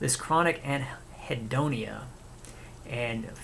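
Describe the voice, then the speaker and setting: Bright and sharp in tone, a man's medium-pitched voice holds fairly even intonation in a space with audible room echo. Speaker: video essayist. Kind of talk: reading aloud from his own paper with commentary. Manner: halting, with self-corrections.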